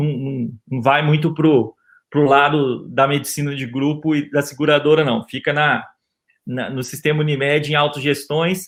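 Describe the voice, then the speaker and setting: A man with a Minas Gerais accent speaks at a fairly slow pace. His pitch is fairly high, with monotone, flat intonation. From Brazil, Minas Gerais. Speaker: physician and health insurance executive. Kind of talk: webinar panel talk. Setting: online webinar. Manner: hesitant, many fillers.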